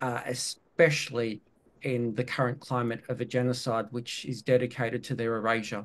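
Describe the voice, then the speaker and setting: Medium pitch in a male speaking voice. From Palestine (Ramallah) and Australia. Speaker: academic, activist. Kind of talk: panel talk. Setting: webinar video call.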